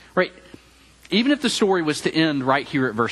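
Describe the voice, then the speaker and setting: A man speaks with a Tennessee accent. His intonation is lively and his pace fairly quick. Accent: Southern US (Tennessee). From Memphis, Tennessee (US South). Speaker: campus minister preaching. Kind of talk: sermon. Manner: hesitant with frequent fillers.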